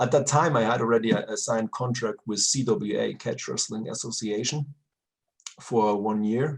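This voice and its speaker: A man with a German accent, fairly low in pitch, at a moderate pace. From Germany. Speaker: retired pro wrestler. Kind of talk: interview. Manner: halting, searching for words.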